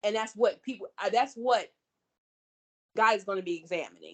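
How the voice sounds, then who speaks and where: Loud and with lively intonation, a woman speaks at a moderate pace. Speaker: podcast guest. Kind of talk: casual chat. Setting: call.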